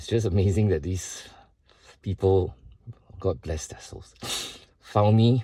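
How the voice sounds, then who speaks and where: A man's voice comes through somewhat breathy, with a dark, mellow tone. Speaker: vlogger sharing personal struggles. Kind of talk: personal video statement. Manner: slow.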